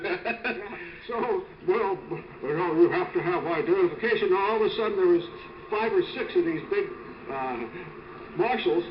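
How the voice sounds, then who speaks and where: Over noticeable background noise, a man speaks at a fairly slow pace in an extremely high pitch that swings very widely. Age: 70s. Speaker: retired prosecutor. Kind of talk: interview answer.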